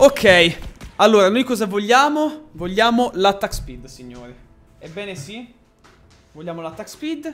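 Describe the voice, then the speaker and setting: A man talks at a high pitch and a fairly slow pace, with very wide pitch swings. Long, frequent pauses break up his speech over faint background music. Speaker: gaming streamer. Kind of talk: live stream commentary.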